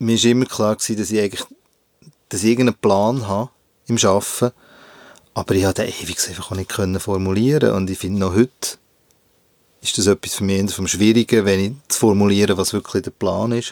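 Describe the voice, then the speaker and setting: A man at a moderate pace with fairly even intonation and long, frequent pauses, in a dry, close sound without echo. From Switzerland, Bern area (Hinterkappelen). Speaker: visual artist. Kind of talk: interview. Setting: recording booth.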